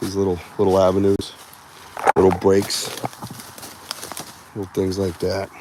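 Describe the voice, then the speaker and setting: A man with a Boston accent talks in an animated tone at a fairly low pitch and moderate pace, with long, frequent pauses and noticeable background noise. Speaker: outdoor livestream host, Bigfoot researcher. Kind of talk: live outdoor vlog commentary. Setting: outdoors in the woods. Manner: casual, rambling, animated.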